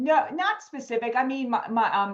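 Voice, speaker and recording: Ordinary pitch variation and a moderate tempo mark an ordinary speaking voice. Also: woman. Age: 50s. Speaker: wellness coach. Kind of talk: interview.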